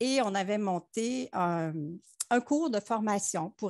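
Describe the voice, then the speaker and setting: A woman is speaking against a quiet background. The sound is dry, with no echo. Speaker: optometrist; panelist. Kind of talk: panel discussion. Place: home room. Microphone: headset.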